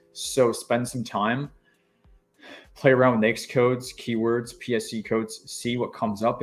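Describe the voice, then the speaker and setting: The voice belongs to a man. Faint music can be heard behind him. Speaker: government contracting coach. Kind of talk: live stream tutorial. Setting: live stream. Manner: fast. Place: home room.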